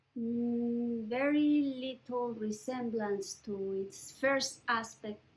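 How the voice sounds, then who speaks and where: In a Mexican accent, a woman speaks at a very slow pace. Her fairly high voice keeps fairly even intonation. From Mexico, Mexico City. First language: Spanish. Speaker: writer and professor. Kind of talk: oral history interview. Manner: halting, with many fillers.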